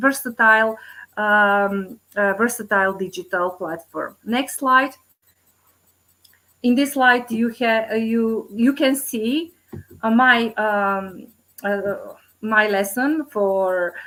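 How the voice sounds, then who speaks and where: With a Macedonian accent, the speaker talks at a very slow pace with long, frequent pauses, a bright, sharp tone and ordinary pitch variation. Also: woman, fairly high pitch for a woman. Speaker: teacher presenting at conference. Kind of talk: conference presentation. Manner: halting, many fillers.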